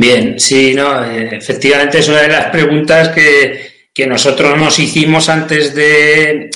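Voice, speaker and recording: A man talks over noticeable background noise. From Spain, Cuenca (Castilla-La Mancha). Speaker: nursery sales representative, agronomy. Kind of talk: interview. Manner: halting, repeats words.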